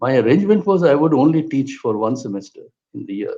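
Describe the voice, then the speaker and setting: A man with a Bengali accent speaks with very wide pitch swings. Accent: Bengali Indian English. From India, Kolkata. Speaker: political theorist and historian. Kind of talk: interview conversation. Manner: halting, with repetitions.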